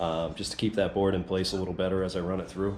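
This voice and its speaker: Here is an ordinary speaking voice. The delivery comes at a fairly quick pace. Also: man. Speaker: woodworking YouTuber. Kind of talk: tutorial. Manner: casual with many fillers.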